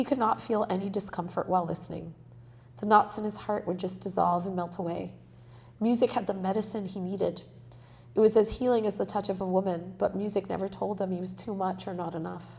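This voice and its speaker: Speaking at a fairly quick pace, a woman shows vocal fry and fairly even intonation. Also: medium pitch for a woman. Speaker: author and spiritual healer. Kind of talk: reading aloud. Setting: library event with live audience.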